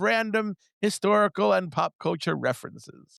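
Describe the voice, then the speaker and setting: Very wide pitch swings at a moderate pace, in a dry, close sound with no echo and a quiet background. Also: man. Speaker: baseball analyst and journalist. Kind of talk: casual chat.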